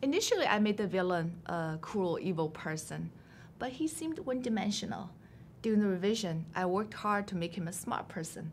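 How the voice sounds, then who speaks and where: With a Chinese accent, a woman speaks at a moderate pace and medium pitch, her intonation lively. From China. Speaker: novelist. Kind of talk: interview. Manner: measured, prepared answers.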